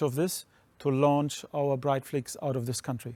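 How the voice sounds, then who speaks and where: In a German accent, the speaker uses a dark, mellow tone with monotone, flat intonation at a moderate pace, in a very clean recording with a silent background and a dry, close sound with no echo. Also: man. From Germany. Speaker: streaming company co-founder. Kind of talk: interview.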